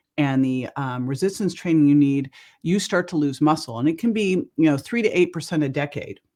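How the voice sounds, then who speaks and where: A woman speaks in a Californian accent with lively intonation. The background is quiet. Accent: General American (California). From US West Coast, El Cerrito California. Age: 60s. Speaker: wellness entrepreneur. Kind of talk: podcast interview. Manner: animated.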